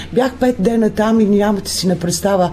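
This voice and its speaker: A woman talks at a fairly slow pace and medium pitch, with ordinary pitch variation. Noticeable background noise is present. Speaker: folk group leader and music teacher. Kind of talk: radio interview. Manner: animated.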